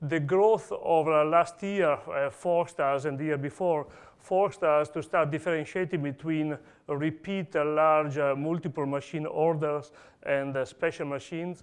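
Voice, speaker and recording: Fairly even intonation in an Italian accent, at a moderate pace, with a quiet background. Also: man, fairly high pitch for a man. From Italy. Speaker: industry engineer presenting at a conference. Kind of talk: conference talk. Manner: hesitant, many fillers.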